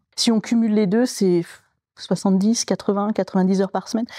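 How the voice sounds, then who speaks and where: A woman's very fast speech at medium pitch, dark and mellow in tone, with a dry, close sound, no echo, and a quiet background. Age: 40s. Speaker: local politician. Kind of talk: interview monologue. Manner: hesitant fillers.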